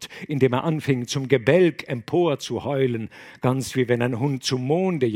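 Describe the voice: Someone reads aloud plainly, with ordinary pitch variation.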